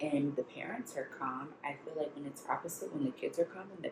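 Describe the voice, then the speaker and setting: There's noticeable background noise as a woman speaks at a moderate pace. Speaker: lifestyle vlogger. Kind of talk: casual vlog talk. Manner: quiet.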